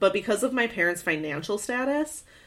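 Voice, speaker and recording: A woman with an American accent and a plain, everyday voice, lively intonation, a fairly quick pace, and a very clean recording over a silent background. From US Midwest, Michigan. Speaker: podcast co-host. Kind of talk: casual chat.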